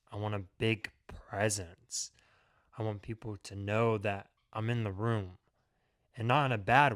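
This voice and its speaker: On a very clean recording with a silent background, a man speaks at a fairly slow pace and fairly low pitch, with fairly even intonation and long, frequent pauses. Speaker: vlogger. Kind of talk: personal vlog monologue. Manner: casual, conversational.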